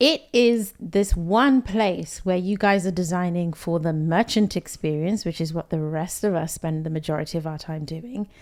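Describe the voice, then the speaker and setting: Speaking with a British accent, a woman keeps a moderate pace with hardly any pauses at a fairly low pitch. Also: ordinary pitch variation. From England, London. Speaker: podcast host, UX director. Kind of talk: casual interview.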